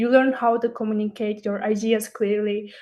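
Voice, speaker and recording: At a moderate pace, a woman speaks with a non-native accent against a quiet background. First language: not English. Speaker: student speaker at a university webinar. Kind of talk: webinar talk. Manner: hesitant, with fillers and restarts.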